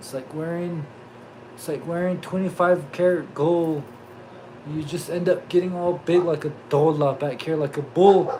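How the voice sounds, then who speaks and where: A man with a Southwestern US accent talks fairly slowly at a high pitch. His loudness swings widely over noticeable background noise. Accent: Navajo-accented English. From Navajo Nation, US Southwest. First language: Navajo. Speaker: YouTuber, livestream host. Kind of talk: casual livestream chat. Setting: live stream. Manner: animated, joking.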